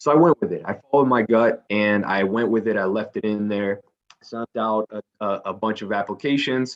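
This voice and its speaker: A man with a Spanish accent talks at a fairly low pitch with fairly even intonation. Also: moderate pace. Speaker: company recruiter presenting to students. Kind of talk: career info session presentation. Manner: many fillers and repetitions, somewhat halting.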